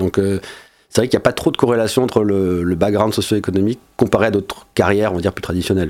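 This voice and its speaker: Talking very fast, a man keeps his intonation fairly even at a fairly low pitch. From Monaco. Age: 40s. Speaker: entrepreneur. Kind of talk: casual interview.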